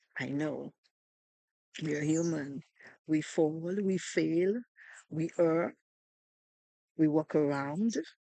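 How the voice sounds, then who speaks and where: A woman with a very deep, low pitch speaks at a very slow pace, leaving long, frequent pauses. Her pitch varies an ordinary amount, and the sound is dry and close with no echo. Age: 60s. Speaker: video host. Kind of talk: inspirational talk.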